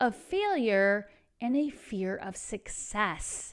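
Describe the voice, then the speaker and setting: A woman with a slight Texan accent and a fairly high pitch, on a very clean recording with a silent background. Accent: Texas accent, slight. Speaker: tarot reader and spiritual coach. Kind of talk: tarot reading. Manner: casual, conversational.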